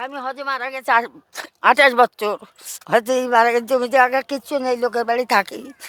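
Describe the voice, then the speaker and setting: A woman talks with a high pitch. Her intonation stays monotone and flat. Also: dry, close sound with no echo. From Lalgola, Murshidabad, West Bengal, India. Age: 70s. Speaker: poor widow. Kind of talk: interview answer.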